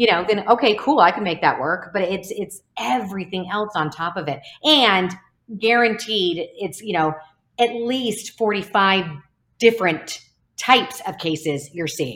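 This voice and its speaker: A woman's plain, everyday voice at medium pitch, lively in intonation, at a fairly slow pace. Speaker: speech-language pathologist and company founder. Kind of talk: casual interview chat.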